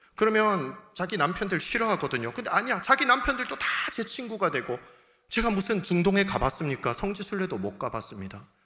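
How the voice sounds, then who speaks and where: Raised and projected, a man's high voice swings very widely in pitch as he talks at a fairly quick pace in an animated tone. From South Gyeongsang, Korea (Changwon). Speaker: pastor. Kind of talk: sermon.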